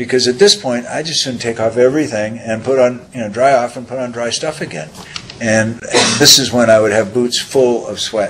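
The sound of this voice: This voice has a fairly bright tone, fairly even intonation and a moderate pace. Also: man, medium pitch for a man.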